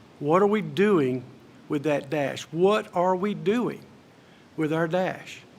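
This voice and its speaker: A man speaks at a very slow pace with long, frequent pauses. His voice is high for a man, with ordinary pitch variation and audible room echo. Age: 60s. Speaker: commencement speaker. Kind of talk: commencement speech. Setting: stage with audience.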